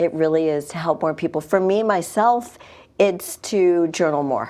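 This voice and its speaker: Her tone dark and mellow, a woman speaks at a moderate pace with a fairly low pitch and ordinary pitch variation. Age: 50s. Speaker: fitness studio owner and trainer. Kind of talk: interview. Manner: animated.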